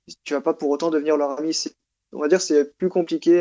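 A man with a fairly high-pitched voice speaks in a flat monotone. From Southern France. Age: 20s. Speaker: expatriate working in animation production. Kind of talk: casual interview.

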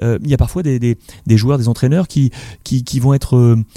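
This man talks at a fairly quick pace in a medium pitch with ordinary pitch variation, a dark, mellow tone, and a dry, close sound with no echo. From Morocco. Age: 40s. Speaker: sports journalist. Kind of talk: interview.

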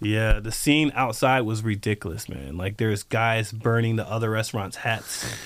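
A man speaks at a moderate pace with an American accent, at a medium pitch and with ordinary pitch variation. He has an unremarkable speaking voice. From US South (North Carolina), childhood in Japan. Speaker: chef and restaurant owner. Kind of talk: casual interview.

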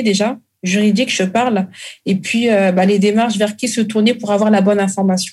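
The delivery is monotone and flat, with very even loudness. The voice is somewhat breathy and moves at a moderate pace. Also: woman. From Congo-Brazzaville. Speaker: caterer and food entrepreneur. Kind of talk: interview.

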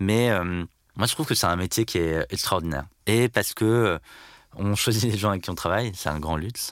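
Very deep and low in pitch, a man's voice moves with ordinary pitch variation. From Brittany, France (Landerneau, Finistère). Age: 30s. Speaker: company CEO. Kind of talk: interview.

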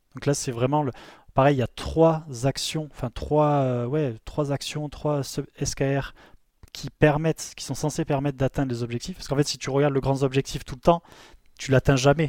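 A man talks at a fairly slow pace with fairly even intonation and a fairly high pitch. The sound is dry and close, with no echo. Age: 30s. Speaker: co-founder and COO of a travel media company. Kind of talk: interview. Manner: halting, many repetitions.

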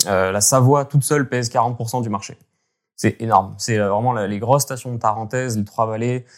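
A man's medium-pitched voice moves at a moderate pace with monotone, flat intonation. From French Alps (Hautes-Alpes, Gap). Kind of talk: interview. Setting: remote call. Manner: halting.

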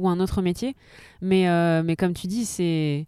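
A woman talks with fairly even intonation. Her medium-pitched voice has a dark, mellow tone. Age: 30s. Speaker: photographer. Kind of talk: casual chat. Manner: halting.

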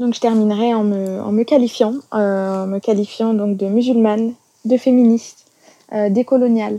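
At a moderate pace, a woman with a fairly high pitch and a dark, mellow tone speaks in a monotone, flat intonation. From France. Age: 30s. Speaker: English teacher. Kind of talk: testimony.

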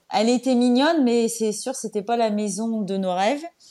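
Pitched fairly high, this woman's voice shows ordinary pitch variation. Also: very clean recording, silent background. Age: 40s. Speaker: home renovator and online antiques seller. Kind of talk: casual interview. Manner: hesitant, many fillers.

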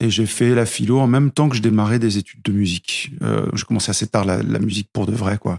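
With an ordinary speaking voice, a man talks at a fairly quick pace with hardly any pauses, a fairly low pitch and fairly even intonation, in a dry, close sound with no echo. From grew up in several countries, moved to France at 13. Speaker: music teacher, guitarist and singer. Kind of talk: casual interview. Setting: at his home.

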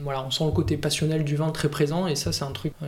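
Fairly quick speech from a man, his voice fairly high in pitch, the intonation fairly even. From Provence, southern France (Var). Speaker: winegrower. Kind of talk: casual interview. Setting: at his home. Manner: halting, many fillers.

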